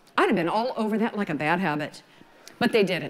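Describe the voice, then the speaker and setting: A woman with a Southern US accent sounds animated, her pitch swinging very widely. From US South, Georgia. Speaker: wedding photographer. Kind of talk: lecture. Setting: stage with audience. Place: stage.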